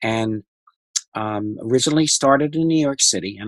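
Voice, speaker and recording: A man talks in a normal speaking voice at a fairly quick pace. His pitch varies in an ordinary way. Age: 60s. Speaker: nonprofit founder and director. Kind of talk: interview.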